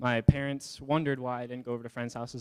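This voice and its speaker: With a dark, mellow tone and medium pitch, a man talks at a very fast pace in a monotone, flat intonation, the sound dry and close with no echo. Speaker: youth group member. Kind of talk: testimony. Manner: few pauses for breath.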